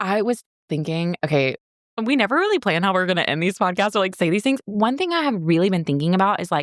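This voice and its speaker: A woman with an American accent, very fast pace and lively intonation, in a dry, close sound with no echo. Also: medium pitch for a woman. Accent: Southern US, sometimes suppressed. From US South. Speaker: podcast co-host. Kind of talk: casual chat.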